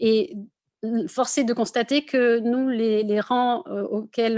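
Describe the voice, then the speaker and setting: A woman speaks at a very slow pace. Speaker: architecture school representative. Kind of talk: online info session presentation. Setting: video conference. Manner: many hesitations (euh).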